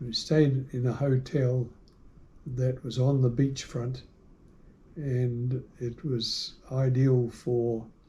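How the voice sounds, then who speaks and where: Very slow speech in a New Zealand accent comes with a dark, mellow tone, some breathiness and monotone, flat intonation. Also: man. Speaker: shell collector. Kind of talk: interview answer.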